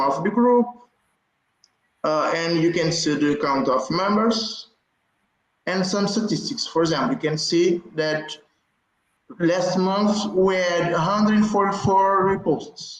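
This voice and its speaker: In a Portuguese accent, a man speaks at a high pitch and fairly slow pace, with very even loudness and long, frequent pauses. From Africa, Portuguese-speaking. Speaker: community group moderator. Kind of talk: conference presentation. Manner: halting.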